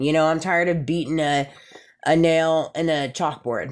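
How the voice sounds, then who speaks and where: Speaking at a moderate pace, a woman with a fairly low pitch uses an animated tone. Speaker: vlogger. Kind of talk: casual monologue vlog. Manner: loud.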